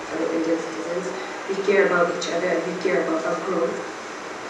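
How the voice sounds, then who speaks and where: Noticeable background noise and audible room echo accompany a woman's voice. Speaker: speech or debate performer. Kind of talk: public speech. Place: hall. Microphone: camera far.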